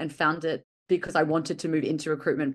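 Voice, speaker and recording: Very fast speech from a woman with an Australian accent. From Australia, Brisbane. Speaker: recruitment professional. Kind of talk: podcast interview.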